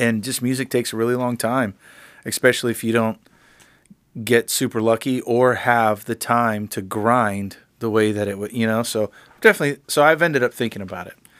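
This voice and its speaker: A man with an American accent speaks in a normal speaking voice at a medium pitch, with fairly even intonation and a fairly quick pace. The recording is very clean, with a silent background. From Miami, Florida. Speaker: podcast host, music producer. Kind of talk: casual chat.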